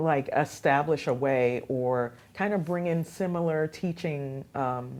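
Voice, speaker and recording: Recorded very cleanly against a silent background, the speaker talks with a Haitian accent. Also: woman. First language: Haitian Creole. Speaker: radio host and youth program founder. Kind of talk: interview. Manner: animated.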